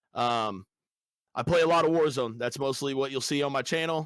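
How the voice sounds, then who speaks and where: A man speaks with an American accent at a fairly high pitch, with fairly even intonation and a moderate pace. The sound is dry and close with no echo. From US Midwest, Des Moines, Iowa. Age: 30s. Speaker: Twitch streamer and gamer. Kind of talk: casual interview chat. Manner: frequent filler ums, hesitant.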